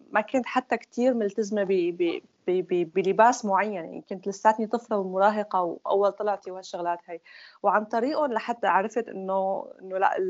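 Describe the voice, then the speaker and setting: This woman talks in a normal speaking voice, pitched in the middle of her range. She keeps a moderate tempo and her pitch moves an ordinary amount. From Syria (Damascus). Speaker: former group member. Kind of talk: personal testimony.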